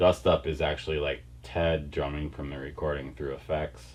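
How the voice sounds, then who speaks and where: With an American accent, a man speaks at a very deep, low pitch. Vocal fry runs through his voice. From Wisconsin. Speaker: rock band singer. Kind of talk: interview. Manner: casual, hesitant with fillers.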